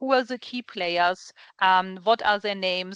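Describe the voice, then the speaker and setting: A woman speaks with a strong German accent. The sound is dry and close, with no echo. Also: quiet background. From Germany. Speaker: recruiter and webinar host. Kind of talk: webinar presentation. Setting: video call webinar.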